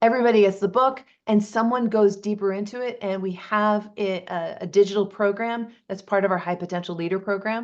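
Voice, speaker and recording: A woman with an American accent, medium pitch and fairly even intonation, talking fairly quickly with hardly any pauses against a quiet background. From US Northeast, Boston area. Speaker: leadership coach and author. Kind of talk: interview. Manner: fast.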